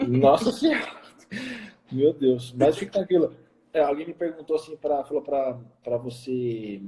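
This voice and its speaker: Speaking with a Minas Gerais accent, a man with a fairly high pitch talks at a fairly slow pace, with ordinary pitch variation and long, frequent pauses. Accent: Brazilian Portuguese, mineiro. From Minas Gerais, Brazil. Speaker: nutritionist, live stream host. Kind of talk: live stream interview. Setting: Instagram live. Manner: swallows words.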